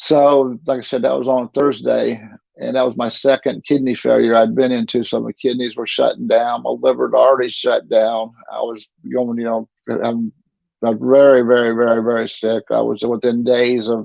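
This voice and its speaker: A man talks in a Southern US accent. He keeps a moderate pace. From North Carolina (Statesville). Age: 60s. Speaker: kidney patient. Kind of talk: interview testimony. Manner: halting.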